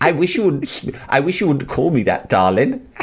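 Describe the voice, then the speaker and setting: Putting on a squeaky character voice, a man uses a fairly high pitch and very wide pitch swings at a moderate pace. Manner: camp, mildly reproachful.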